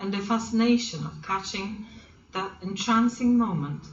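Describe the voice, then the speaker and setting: A woman talks fairly slowly as noticeable background noise carries on. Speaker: grandmother who writes stories. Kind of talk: storybook reading, children's story.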